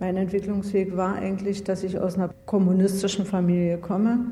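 Audible room echo hangs around a woman's voice. Her pitch is medium. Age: 40s. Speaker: former judge. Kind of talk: interview. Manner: halting.

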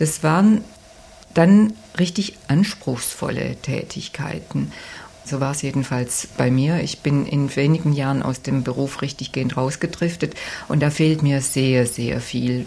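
A woman's very deep, low voice at a fairly slow pace, with ordinary pitch variation over noticeable background noise. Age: old. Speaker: lawyer. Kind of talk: interview.

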